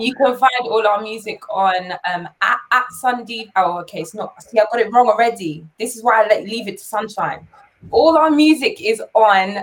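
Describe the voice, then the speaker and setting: With a London accent, a woman speaks at a fairly high pitch and a moderate pace, her intonation lively, her loudness swinging widely, and hardly any pauses. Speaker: dancer and singer. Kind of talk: interview.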